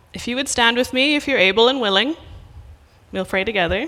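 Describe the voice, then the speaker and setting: The voice belongs to a woman with an Irish accent. Her tone is bright and sharp. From west of Ireland. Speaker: missionary preacher. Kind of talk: sermon. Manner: casual with many fillers.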